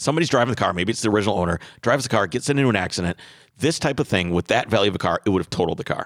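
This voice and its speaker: A man speaks at a very fast pace and fairly low pitch. The recording is very clean and silent behind him, with a dry, close sound and no echo. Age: 30s. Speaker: podcast host. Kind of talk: casual chat and interview. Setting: studio.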